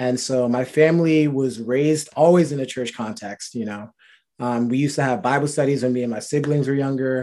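Here a man with an American accent speaks at a medium pitch in a dark, mellow tone. He talks at a fairly quick pace with ordinary pitch variation. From New Rochelle, New York, US. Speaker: HR worker. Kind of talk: casual faith testimony chat.

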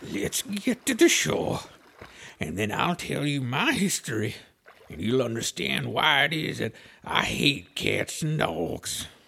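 Put-on character voice from a man, medium-pitched and fairly slow

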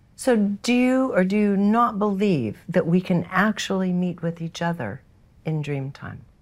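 Speech moves at a fairly slow pace with lively intonation, in an unremarkable speaking voice. The recording is very clean, with a silent background. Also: woman, medium pitch for a woman. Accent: American. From San Francisco, US West Coast. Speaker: podcast host. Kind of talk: interview.

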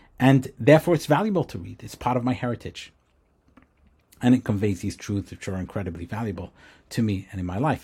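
A man speaks with lively intonation. There is a slight breathiness to his voice. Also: very clean recording, silent background. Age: 40s. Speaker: podcast host, former rabbi and startup founder. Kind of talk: personal reflective monologue. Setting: home recording with books behind, also on video.

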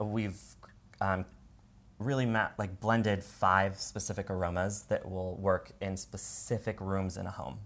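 Someone speaks fairly slowly with an American accent. It is a normal speaking voice. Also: man, fairly low pitch for a man. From Washington state, US. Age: 30s. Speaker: entrepreneur. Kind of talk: casual chat.

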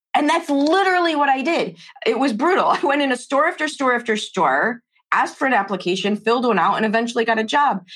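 A woman speaks at a fairly quick pace and fairly high pitch, her fairly bright tone carrying a slightly husky edge and ordinary pitch variation.

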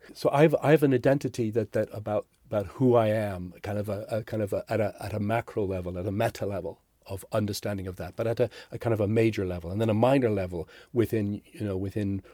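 Speaking at a very fast pace, a man uses a dark, mellow tone in an Irish accent. The recording is very clean, with a silent background. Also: dry, close sound with no echo. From Ireland. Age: 60s. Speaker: executive performance coach and author. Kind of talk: interview conversation. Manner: halting, many repetitions.

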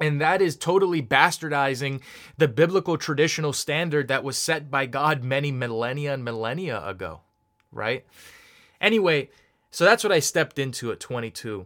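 Here a man has a fairly high pitch and lively intonation, moving at a moderate pace. The recording is very clean, with a silent background. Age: 20s. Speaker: podcast host. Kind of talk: personal monologue.

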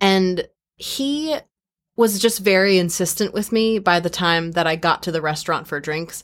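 A woman with an American accent speaks at a moderate pace and medium pitch, her intonation lively and her tone animated, on a very clean recording with a silent background. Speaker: podcast host and entertainer. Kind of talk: casual chat. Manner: animated, laughs often.

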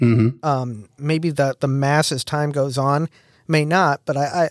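An ordinary speaking voice with an American accent goes at a moderate pace. The recording is very clean, with a silent background and a dry, close sound with no echo. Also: man. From US Midwest. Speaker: podcast host. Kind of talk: casual chat.

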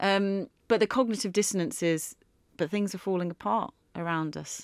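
A woman with an unremarkable speaking voice keeps a medium pitch and moderate pace in a very clean recording over a silent background. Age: 40s. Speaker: podcast co-host, consultant. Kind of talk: casual chat.

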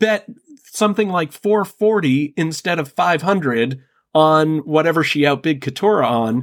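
Speaking at a moderate pace with lively intonation, a man has a slight New England accent. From northern Massachusetts, US. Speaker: podcast guest. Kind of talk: casual chat.

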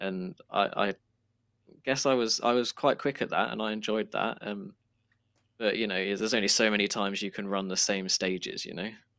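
On a very clean recording with a silent background, a man with a British accent speaks at a moderate pace in a fairly low voice with fairly even intonation. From southern England. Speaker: sim racer. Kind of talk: casual interview.

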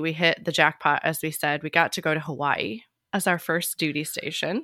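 A woman with a Midwestern American accent, at a moderate pace. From US Midwest, small town in Illinois. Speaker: podcast host and physical therapist. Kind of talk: casual interview. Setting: video call.

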